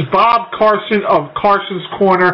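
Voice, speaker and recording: Over noticeable background noise, a man speaks in an upbeat, energetic tone at a high pitch. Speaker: morning radio show host. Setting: phone call from home dinner table. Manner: upbeat, punchy, energetic radio-announcer delivery.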